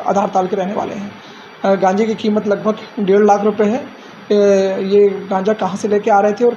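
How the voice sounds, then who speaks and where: Light background noise sits behind a man with a high voice. He speaks at a moderate pace in a monotone, flat intonation. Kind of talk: official press statement. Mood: formal, calm.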